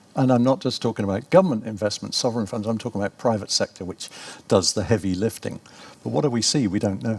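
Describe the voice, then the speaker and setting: A man with a British accent, medium pitch and ordinary pitch variation, speaking at a very fast pace. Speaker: professor. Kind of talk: conference talk.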